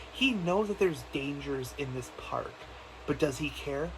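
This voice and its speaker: An animated man at a moderate pace, with audible room echo and noticeable background noise. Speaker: gaming youtuber. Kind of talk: video game theory monologue. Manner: halting, many restarts; casual, animated.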